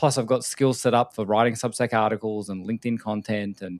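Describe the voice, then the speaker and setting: A man with an Australian accent at medium pitch, fairly quick pace and fairly even intonation, in a dry, close sound with no echo and a very clean recording with a silent background. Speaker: podcast host, AI consultant. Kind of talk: casual chat. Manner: direct and casual.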